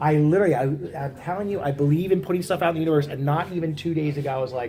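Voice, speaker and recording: Somewhat breathy and dark, mellow in tone, a man talks at a very fast pace with a fairly high pitch and ordinary pitch variation. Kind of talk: casual conversation.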